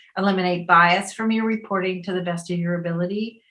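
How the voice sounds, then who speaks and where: A woman with an American accent talks at a fairly low pitch and a fairly quick pace. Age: 60s. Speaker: filmmaker and teacher. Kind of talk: interview.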